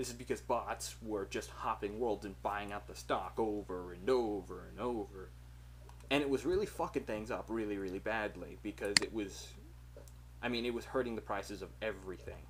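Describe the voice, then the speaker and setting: Vocal fry runs through this man's speech. His pitch swings very widely. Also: moderate pace. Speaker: gaming youtuber. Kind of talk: gameplay commentary. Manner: casual, rambling. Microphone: bad quality microphone.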